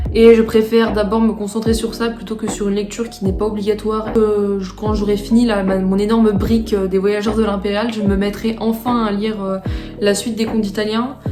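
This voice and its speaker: Against music in the background and audible room echo, a woman with a fairly high pitch speaks in a monotone, flat intonation. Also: fairly quick pace. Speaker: student vlogger. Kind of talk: casual vlog talk. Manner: hesitant, many fillers.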